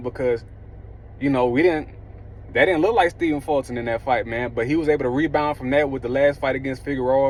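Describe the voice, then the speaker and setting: Very fast speech with an Alabama Southern accent. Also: man. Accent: Alabama Southern accent, noticeable. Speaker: boxing commentator / YouTuber. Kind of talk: casual commentary monologue. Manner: casual, conversational with frequent fillers.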